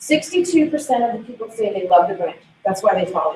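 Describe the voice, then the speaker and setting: A woman's fairly high voice. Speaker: conference presenter. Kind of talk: conference presentation. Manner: fast.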